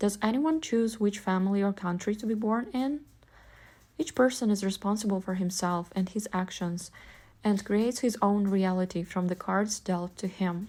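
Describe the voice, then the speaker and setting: A woman with a Russian accent, medium pitch and a dark, mellow, somewhat breathy tone, at a moderate pace. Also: very clean recording, silent background. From Ukraine, Vinnytsia. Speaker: vlogger. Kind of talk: personal essay monologue.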